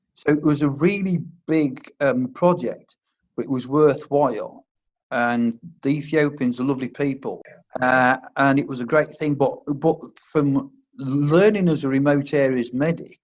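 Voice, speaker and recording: A man with a Worcestershire accent, fairly high in pitch, speaking at a fairly slow pace with fairly even intonation. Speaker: army medic turned first aid instructor. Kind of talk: interview. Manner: halting, stammers on words.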